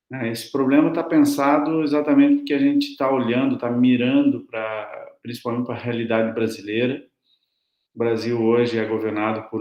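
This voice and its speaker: A man with a Brazilian accent speaks at medium pitch. His intonation is fairly even. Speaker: academic researcher presenting a paper. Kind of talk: conference presentation. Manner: slow, deliberate; hesitant, many fillers.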